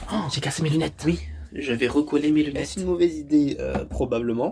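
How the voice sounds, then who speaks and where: A man at a very fast pace. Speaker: vlogger. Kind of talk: vlog. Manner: casual.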